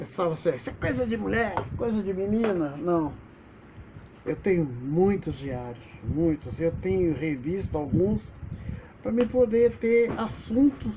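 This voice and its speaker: Over noticeable background noise, a man with a high voice speaks at a fairly slow pace with very wide pitch swings. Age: 70s. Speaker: retired teacher and video blogger. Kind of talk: personal memoir monologue.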